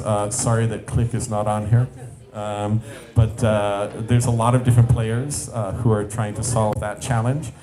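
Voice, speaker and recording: Music can be heard behind a man's voice. The room around him gives an audible echo. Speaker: startup founder and CEO giving a talk. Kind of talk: conference presentation. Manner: fast; hesitant with fillers.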